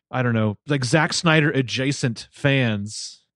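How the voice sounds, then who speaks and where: A man talks against a quiet background in an unremarkable speaking voice. His pitch is medium, with ordinary variation. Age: 30s. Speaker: podcast co-host. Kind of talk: casual chat.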